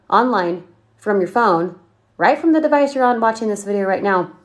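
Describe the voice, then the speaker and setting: The background stays quiet while a woman talks. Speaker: online marketing coach. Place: home room. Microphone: phone near.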